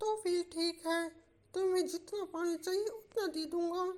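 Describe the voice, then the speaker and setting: A quiet, cartoonish character voice sits at an extremely high pitch. It unfolds at a fairly slow pace. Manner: secretive, hushed.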